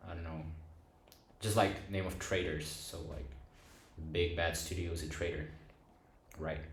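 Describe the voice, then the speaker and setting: A man with a very deep, low pitch, a somewhat breathy, flat monotone delivery, long, frequent pauses and audible room echo. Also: moderate pace. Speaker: film review youtuber. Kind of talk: casual video essay monologue. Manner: halting, many fillers and restarts.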